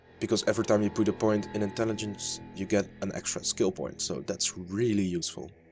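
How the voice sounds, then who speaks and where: Over background music, a man speaks at a fairly low pitch with a non-native accent. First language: not English. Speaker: gaming youtuber. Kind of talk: gameplay commentary. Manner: casual, hesitant with fillers.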